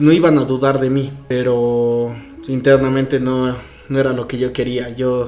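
The delivery is monotone and flat, and audible room echo surrounds it. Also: man, medium pitch for a man, fairly slow pace. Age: 20s. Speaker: interviewee sharing coming-out story. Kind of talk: testimony.

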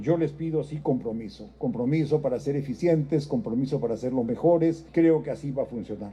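A man talks at a fairly quick pace with ordinary pitch variation. His tone is dark and mellow, and somewhat breathy. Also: fairly high pitch for a man. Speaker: president of parliament. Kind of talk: formal speech.

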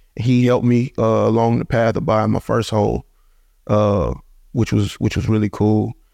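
A man with a dark, mellow tone and fairly low pitch speaks at very even loudness, the sound dry and close with no echo against a quiet background. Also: ordinary pitch variation, moderate pace. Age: 20s. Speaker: professional football player. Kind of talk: casual interview.

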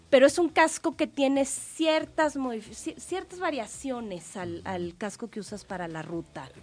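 A woman at high pitch with very wide pitch swings and a fairly slow pace. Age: 20s. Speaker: triathlete and cycling expert. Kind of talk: radio interview.

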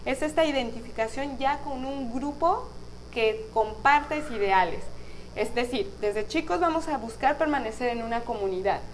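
Lively intonation from a woman at a high pitch, a fairly slow pace and audible room echo. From Mexico, Guadalajara, Jalisco. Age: 30s. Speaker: podcast host and spiritual guide. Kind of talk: spiritual talk on live podcast stream. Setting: live stream on video.

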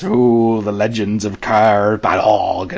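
Using a put-on character voice, a man speaks at fairly low pitch and a very slow pace with fairly even intonation over light background noise. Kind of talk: gruff, crusty.

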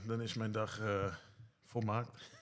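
Audible room echo accompanies a man talking at a fairly slow pace. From Netherlands, Bunschoten. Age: 40s. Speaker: care worker. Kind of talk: casual interview.

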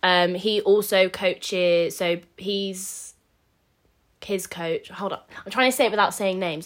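A woman speaks in a normal speaking voice at medium pitch with fairly even intonation, in a very clean recording with a silent background. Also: fairly slow pace. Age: 20s. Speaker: podcast co-host, amateur bodybuilder. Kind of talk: casual chat.

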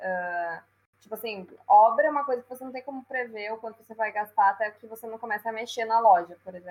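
A woman's very fast delivery in a fairly high pitch, with ordinary pitch variation and big swings in loudness. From Brazil, Rio Grande do Sul (Passo Fundo). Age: 20s. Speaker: entrepreneur. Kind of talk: interview.

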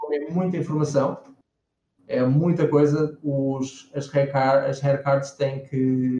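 A man speaks at a very slow pace with a European Portuguese accent. His intonation is monotone and flat. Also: fairly high pitch for a man. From Portugal, Lisbon. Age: 30s. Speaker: 3D character artist. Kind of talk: interview on a live stream.

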